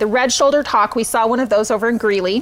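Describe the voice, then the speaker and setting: The woman talks at a very fast pace with a fairly high pitch. Background noise is noticeable. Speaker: nonprofit executive director. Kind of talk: live event hosting. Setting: virtual gala livestream. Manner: loud.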